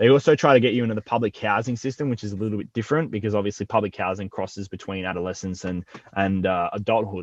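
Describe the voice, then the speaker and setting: A man with an Australian accent talks very fast with hardly any pauses. The sound is dry and close with no echo, and the background is quiet. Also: fairly low pitch for a man, ordinary pitch variation. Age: 20s. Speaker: rapper. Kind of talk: casual interview chat. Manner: casual, hesitant with repetitions.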